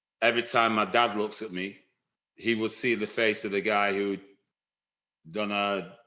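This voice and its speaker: With a Lancashire accent, a man talks fairly slowly in a fairly low, bright and sharp voice against a quiet background. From northern England, Blackburn, Lancashire. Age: 60s. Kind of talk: life story interview. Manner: halting, many fillers and restarts.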